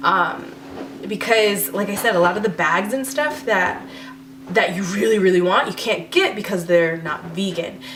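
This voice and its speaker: A woman with an American accent, medium-pitched and fairly quick, over noticeable background noise. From New York. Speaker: beauty and lifestyle vlogger. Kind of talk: casual Q&A vlog. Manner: hesitant.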